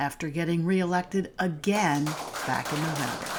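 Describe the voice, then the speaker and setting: A woman with a fairly low pitch talks at a moderate pace amid noticeable background noise. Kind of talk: news feature narration.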